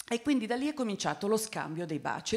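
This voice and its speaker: The intonation is lively. The background is quiet. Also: woman. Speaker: author. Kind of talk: panel discussion. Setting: stage with audience. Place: hall. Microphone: handheld.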